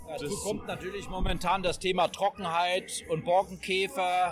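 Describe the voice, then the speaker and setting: A man at a high pitch and moderate pace, with noticeable background noise. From Hesse. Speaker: magazine editor-in-chief. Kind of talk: casual discussion. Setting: trade fair.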